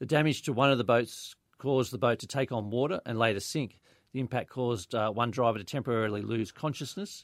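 A man with an Australian accent at a very fast pace, ordinary pitch variation, and a very clean recording with a silent background. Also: medium pitch for a man. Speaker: police inspector. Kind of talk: police report on radio. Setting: radio studio.

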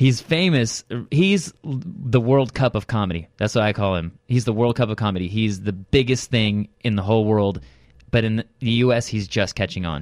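A man with an ordinary speaking voice at medium pitch uses lively intonation at a moderate pace on a very clean recording with a silent background. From Southern California suburbs. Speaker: comedian and parodist. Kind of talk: casual interview chat. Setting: studio.

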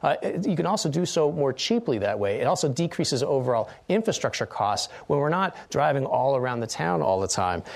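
Pitch swings very widely, with vocal fry. The pace is fairly quick. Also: man. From Utah. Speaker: politician and professor. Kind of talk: political debate. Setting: studio.

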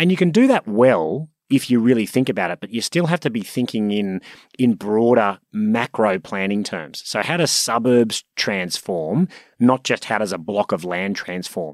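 On a very clean recording with a silent background, a man with an Australian accent talks at a moderate pace with lively intonation, the sound dry and close with no echo. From Sydney, Australia. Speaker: property company executive. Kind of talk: interview.

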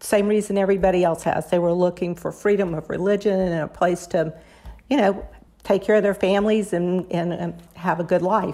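Speaking fairly quickly with an American accent, a woman keeps a medium pitch and fairly even intonation in a dark, mellow tone. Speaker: cookbook author. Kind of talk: interview.

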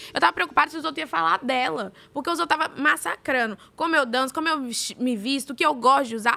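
A woman's raised, projected voice with a Minas Gerais accent, high in pitch, bright and sharp in tone, at a very fast pace. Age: 20s. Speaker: reality show contestant. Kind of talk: casual chat.

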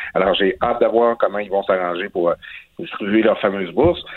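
At a fairly quick pace, a man talks in an ordinary speaking voice with fairly low pitch. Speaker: political columnist. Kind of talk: political commentary.

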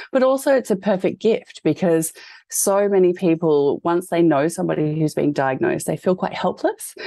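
A woman with an Australian accent speaks at a moderate pace in a fairly low pitch, with lively intonation and very even loudness. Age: 30s. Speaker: fashion designer and cancer patient. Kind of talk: interview.

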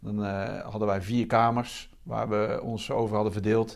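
This man speaks with a fairly low pitch and flat, monotone intonation. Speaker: army reserve officer. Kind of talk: interview storytelling. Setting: army barracks.

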